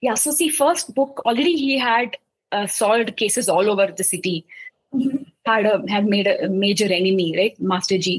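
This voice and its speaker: Speaking at a moderate pace, a woman with a medium pitch sounds somewhat breathy and uses lively intonation. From India, Mumbai. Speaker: children's book author. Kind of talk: interview.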